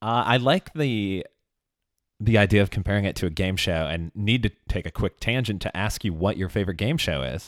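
A plain, everyday voice with an American accent speaks at a fairly quick pace with lively intonation. The recording is very clean with a silent background, and the sound is dry and close with no echo. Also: man, fairly low pitch for a man. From Chicago. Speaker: podcast host. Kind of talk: casual chat. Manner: laughs often.

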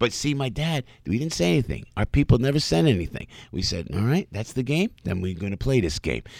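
Talking fairly quickly with hardly any pauses, a man's voice shows vocal fry and very wide pitch swings. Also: medium pitch for a man. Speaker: entertainer and former radio personality. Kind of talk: interview. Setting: studio. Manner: animated.

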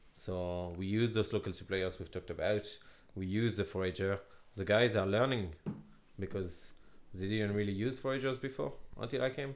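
A man with a French accent speaks with ordinary pitch variation and long, frequent pauses. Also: fairly low pitch for a man, moderate pace. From Laval, northwest France. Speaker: head chef. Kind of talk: casual interview chat.

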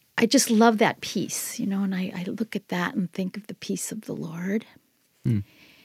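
A woman with an American accent speaks at medium pitch and a moderate pace, with ordinary pitch variation and vocal fry. The sound is dry and close with no echo, in a very clean recording with a silent background. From US Midwest, Minnesota. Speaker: artist. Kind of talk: casual interview chat. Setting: studio.

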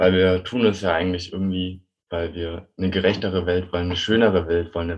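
The speaker is very fast and somewhat breathy, with monotone, flat intonation. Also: man. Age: 20s. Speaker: climate activist and bike courier. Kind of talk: interview.

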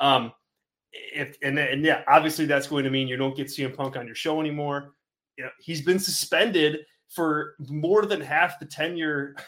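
At a moderate pace, a man with a fairly high pitch and fairly even intonation talks in a plain, everyday voice. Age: 30s. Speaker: wrestling podcast host. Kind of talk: casual chat.

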